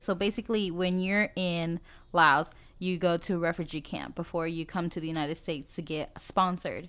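On a very clean recording with a silent background, a woman with an American accent and a normal speaking voice talks at a fairly quick pace, fairly low in pitch and fairly even in intonation. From US Midwest, Dodge City, Kansas. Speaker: podcast co-host. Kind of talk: casual chat.

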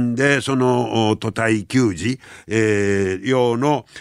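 This man talks with a Kansai accent at a medium pitch. His pace is very slow. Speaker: radio host. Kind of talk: casual radio talk.

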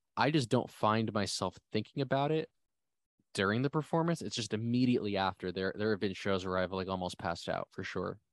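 A man with a plain, everyday voice and an American accent, fairly low in pitch, lively in intonation and fairly quick in pace, in a dry, close sound with no echo over a quiet background. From New Jersey. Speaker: band musician. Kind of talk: casual interview.

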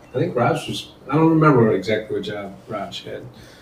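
Through audible room echo and noticeable background noise, the speech carries lively intonation. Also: man. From Michigan. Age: 50s. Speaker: corporate executive. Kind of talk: casual chat.

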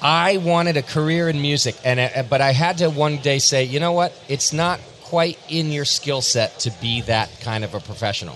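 A man speaks in an unremarkable speaking voice, fairly high in pitch with ordinary pitch variation. His pace is moderate, with hardly any pauses. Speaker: podcast host. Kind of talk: casual chat. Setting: live at a convention.

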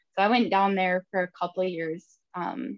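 This woman has a fairly low pitch and a northern Minnesota accent. Her intonation is fairly even and her pace is moderate.

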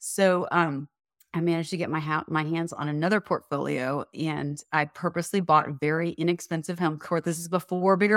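Speaking at a fairly quick pace, a woman uses a fairly low pitch and fairly even intonation on a very clean recording with a silent background. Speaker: property manager and real estate investor. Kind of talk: casual interview. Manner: talkative.

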